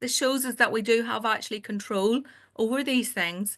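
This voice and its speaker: A woman speaks in a Northern Irish accent, her tone bright and sharp at a fairly high pitch. Pitch varies in an ordinary way against a quiet background. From Northern Ireland. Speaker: family doctor. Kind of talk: webinar presentation. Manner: halting.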